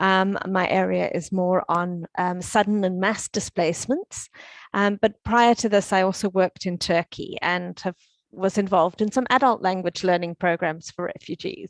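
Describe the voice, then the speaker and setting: Speaking with a South African accent, a woman uses medium pitch and fairly even intonation at a moderate pace, with a dry, close sound with no echo and a quiet background. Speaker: UN education officer. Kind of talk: conference talk. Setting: conference stage. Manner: halting, with fillers.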